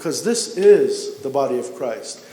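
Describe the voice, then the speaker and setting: Noticeable background noise sits behind a man who talks at a very slow pace. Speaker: Orthodox priest. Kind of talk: church homily. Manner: conversational, explanatory.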